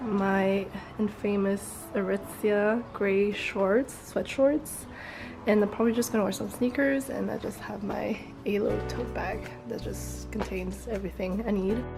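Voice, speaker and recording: Fairly slow speech from a woman, music in the background. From France. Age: 20s. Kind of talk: casual vlog talk to camera.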